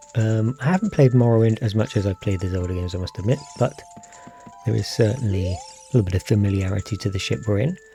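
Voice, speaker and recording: A quiet voice talks at a very fast pace. Music plays in the background. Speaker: video game streamer. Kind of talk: gameplay commentary. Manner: soft-spoken.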